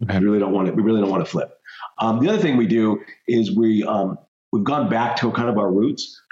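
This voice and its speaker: A man with an American accent talks at a very fast pace. His pitch is medium, with ordinary variation and very even loudness. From Colorado, US. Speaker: mortgage note investor. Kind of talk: interview.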